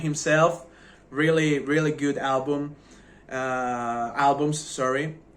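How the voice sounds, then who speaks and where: Audible room echo surrounds a speaker with a non-native accent. The pace is very slow, with ordinary pitch variation. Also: man. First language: not English. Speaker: music reviewer YouTuber. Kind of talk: casual video review. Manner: halting.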